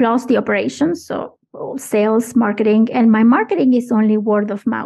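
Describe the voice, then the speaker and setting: A woman speaks with a non-native accent. Her pace is moderate. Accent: foreign accent, she thinks it is noticeable. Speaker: podcast manager and producer. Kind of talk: interview conversation.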